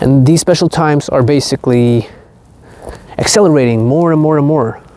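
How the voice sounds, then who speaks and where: Moderate pace over noticeable background noise. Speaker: spiritual content creator. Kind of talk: vlog monologue. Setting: outdoors. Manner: slightly halting.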